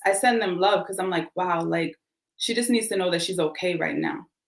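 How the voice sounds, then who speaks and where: A woman speaks with a Boston accent and ordinary pitch variation. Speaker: life coach. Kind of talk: casual chat. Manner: animated.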